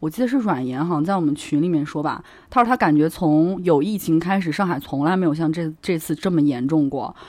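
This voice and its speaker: Fairly quick speech with hardly any pauses against a quiet background. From Hubei, China. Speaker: podcast co-host. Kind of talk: casual chat.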